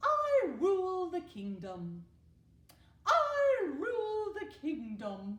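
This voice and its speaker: In a put-on character voice at extremely high pitch, the speaker goes at a very slow pace. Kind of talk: fancy, regal. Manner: commanding.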